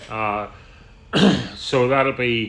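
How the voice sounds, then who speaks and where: In a Northern Irish accent, a man speaks at a medium pitch. His tone is bright and sharp, with fairly even intonation. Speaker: tour guide. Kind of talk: business meeting. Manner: loud; halting.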